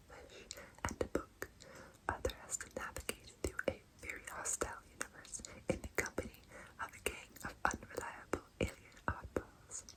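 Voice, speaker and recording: A woman whispers fairly slowly while noticeable noise runs in the background. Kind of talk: ASMR whispered show and tell. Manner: whispered, soft, relaxing.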